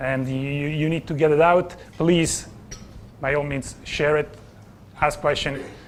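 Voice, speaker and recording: A man with an Italian accent, fairly high pitch and monotone, flat intonation, speaking at a fairly slow pace with long, frequent pauses and audible room echo. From Italy. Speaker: business coach. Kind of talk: conference presentation. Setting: stage with audience.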